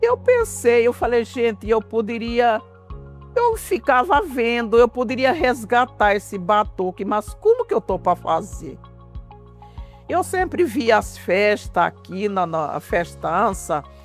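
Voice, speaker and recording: Background music plays throughout. A woman speaks very slowly. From Vila Bela da Santíssima Trindade, Mato Grosso, Brazil. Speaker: quilombola community cultural leader, cook, singer. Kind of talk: interview answer.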